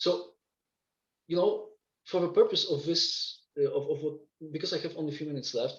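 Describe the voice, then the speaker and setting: Audible room echo surrounds a man who speaks at a very fast pace. He leaves long, frequent pauses. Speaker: mathematician, seminar speaker. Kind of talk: lecture. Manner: halting, many fillers and repeats.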